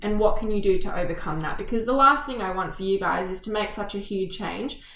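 A woman with an Australian accent speaks at a fairly quick pace in a medium pitch. Noticeable background noise and audible room echo are present. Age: 20s. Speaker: podcast co-host. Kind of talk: casual chat.

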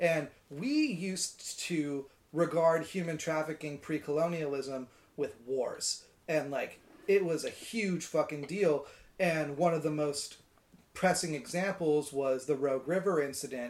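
This is an unremarkable speaking voice, a man's with an American accent and a fairly high pitch. He talks at a fairly slow pace with ordinary pitch variation. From US Pacific Northwest, Washington state. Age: 20s. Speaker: cellist. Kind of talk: casual chat.

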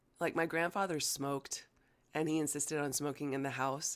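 With a General American accent, a woman speaks at a moderate pace in a very deep, low pitch, keeping her intonation fairly even. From United States, Chinese-American family. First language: Chinese. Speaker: breathwork guide. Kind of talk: casual interview conversation.

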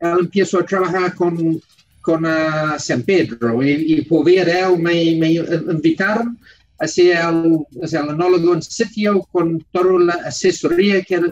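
In an English accent, the speaker goes at a very slow pace with ordinary pitch variation. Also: man. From New Zealand. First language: English (speaking Spanish). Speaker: winemaker. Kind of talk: radio interview. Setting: radio studio. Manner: halting.

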